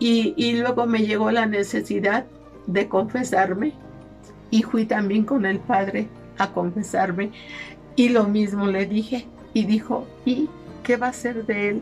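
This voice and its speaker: A woman with a fairly high pitch speaks at a fairly slow pace, using fairly even intonation. Her long, frequent pauses fall over faint music in the background. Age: 80s+. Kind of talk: interview answer. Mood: weary, pleading, emotional. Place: home room.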